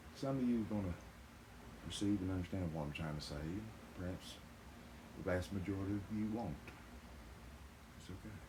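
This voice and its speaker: A man with a very deep, low pitch and ordinary pitch variation, fairly quick in pace yet with long, frequent pauses, in audible room echo. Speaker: YouTuber and songwriter. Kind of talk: monologue to camera. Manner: fast talker, others say.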